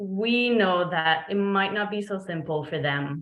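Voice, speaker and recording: Using lively intonation, a woman speaks at a fairly slow pace and a medium pitch. She has a French Canadian accent. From Quebec, Montreal. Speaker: veterinarian. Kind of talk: presentation. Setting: video call. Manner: frequent fillers (um).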